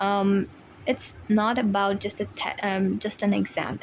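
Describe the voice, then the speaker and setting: A woman with a non-native accent talks at a medium pitch. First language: not English. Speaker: IELTS tutor, video creator. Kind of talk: tutorial. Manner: hesitant with fillers.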